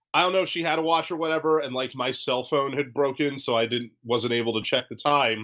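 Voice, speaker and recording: A normal speaking voice goes along fairly quickly, its pitch varying in an ordinary way. Behind it the background is silent, and the recording is very clean. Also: man. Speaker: podcast host. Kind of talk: casual chat.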